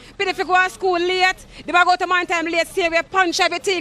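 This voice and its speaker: Words come at a very fast pace. The speaker talks with a Jamaican accent. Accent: Jamaican Patois. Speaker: resident protesting bad roads. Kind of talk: street interview.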